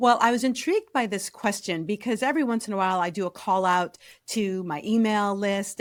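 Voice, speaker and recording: With a Chicago accent, the speaker moves at a fairly quick pace and ordinary pitch variation. The sound is dry and close with no echo, in a very clean recording over a silent background. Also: woman. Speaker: career strategist, podcast host. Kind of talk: interview podcast.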